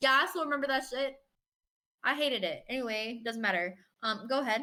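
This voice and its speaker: With an American accent, a woman projects a raised, high-pitched voice that is bright and sharp, moving at a fairly quick pace with ordinary pitch variation. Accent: Southern, rarely used. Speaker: podcast co-host. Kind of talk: casual chat. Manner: animated.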